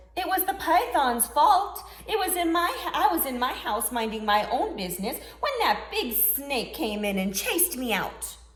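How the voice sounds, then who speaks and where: Doing a put-on character voice at a high pitch, a woman speaks shakily at a moderate pace with very wide pitch swings, with audible echo and music in the background. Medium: read story. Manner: timid, trembling.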